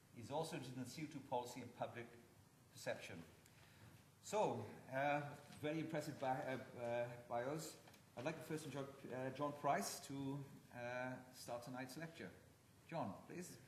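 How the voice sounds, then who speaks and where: With a Welsh accent, a man speaks at a moderate pace and a medium pitch, with ordinary pitch variation and long, frequent pauses. There is noticeable background noise and audible room echo. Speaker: event chairman. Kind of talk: formal introduction.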